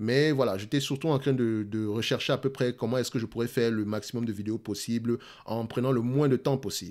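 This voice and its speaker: This is a man's voice. His pitch is medium and his intonation fairly even. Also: fairly quick pace. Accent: Cameroonian. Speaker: investing youtuber. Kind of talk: casual talk to camera. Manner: fast.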